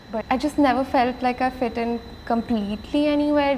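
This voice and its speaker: A woman at a moderate pace with fairly even intonation, over noticeable background noise. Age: 20s. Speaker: pole dancer and studio owner. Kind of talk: documentary interview.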